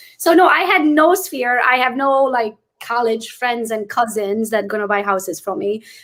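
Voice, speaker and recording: A woman speaks with a non-native accent. Her high voice has lively intonation. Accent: noticeable foreign. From Transylvania, Romania (Hungarian). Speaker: real estate agent. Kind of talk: interview. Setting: livestream.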